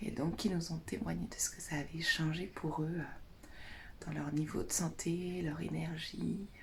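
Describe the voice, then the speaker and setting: A woman whispers at a very slow pace. Audible echo fills the room. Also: hardly any pauses. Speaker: naturopath and essential oils advisor vlogger. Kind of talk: casual vlog. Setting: bedroom at a friend's house, morning. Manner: whispering.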